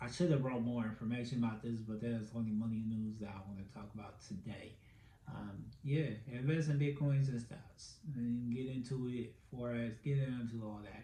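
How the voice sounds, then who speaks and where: Room echo is audible. The loudness swings widely. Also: man, medium pitch for a man, fairly even intonation, moderate pace. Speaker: podcast host. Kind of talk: casual solo podcast commentary. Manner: filler-heavy, stammering.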